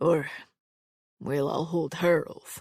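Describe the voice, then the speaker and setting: A put-on character voice, raspy and at a middle pitch. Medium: read story. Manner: gruff, clipped.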